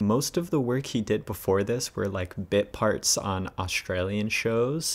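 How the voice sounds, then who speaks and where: A man speaks with lively intonation. His pitch is fairly low. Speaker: acting coach reacting to audition. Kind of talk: reaction commentary. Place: home room.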